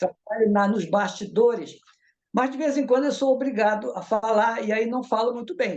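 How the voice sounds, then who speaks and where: A man speaks at a moderate pace with an extremely high pitch and ordinary pitch variation. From northern Brazil, Belém do Pará. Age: 70s. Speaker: spiritist movement organizer. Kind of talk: casual interview chat. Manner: halting, with frequent repetitions.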